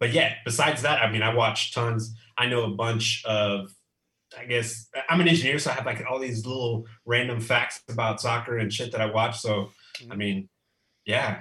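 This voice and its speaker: A man with an American accent talks at a moderate pace and a medium pitch. His intonation is fairly even, and he has an ordinary speaking voice. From Texas. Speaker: football fan, giveaway winner. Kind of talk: casual chat.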